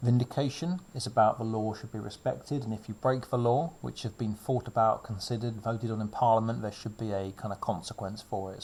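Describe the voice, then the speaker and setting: A somewhat breathy man at medium pitch, fairly even intonation and a very fast pace. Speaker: secondary school RS teacher. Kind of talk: revision lecture. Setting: recorded video lesson during lockdown. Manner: casual with fillers.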